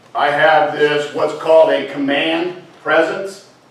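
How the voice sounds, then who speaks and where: Amid noticeable background noise and audible room echo, a man speaks very slowly at a fairly high pitch with fairly even intonation. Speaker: scoutmaster. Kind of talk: speech to a club audience.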